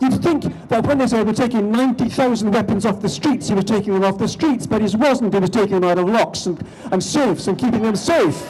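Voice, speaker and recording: Speaking very fast, a man with a Scottish accent uses a high pitch while noticeable background noise plays behind him. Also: ordinary pitch variation, very even loudness. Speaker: politician speaking at a rally. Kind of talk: rally speech. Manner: animated.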